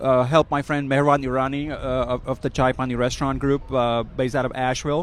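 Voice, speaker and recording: A man's very fast, monotone, flat delivery with hardly any pauses. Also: medium pitch for a man. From India. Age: 50s. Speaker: chef. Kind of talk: casual interview. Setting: food event. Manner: halting, many fillers.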